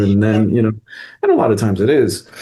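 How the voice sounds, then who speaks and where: A man with a fairly low pitch and a dark, mellow tone speaks at a fairly quick pace. Audible room echo is present. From Quebec. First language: French. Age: 40s. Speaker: actor, director and acting teacher. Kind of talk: interview conversation. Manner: casual, filler-heavy.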